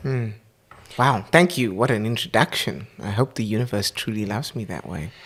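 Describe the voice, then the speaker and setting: A man speaks with a medium pitch. His intonation is lively, and his pace is moderate. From South Africa, Port Elizabeth. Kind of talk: casual interview. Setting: home recording.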